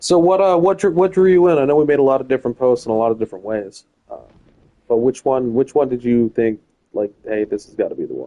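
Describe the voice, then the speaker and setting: A man with an American accent talks very fast at a medium pitch, his intonation lively and his loudness swinging widely. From US Midwest. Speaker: gaming streamer. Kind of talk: casual chat.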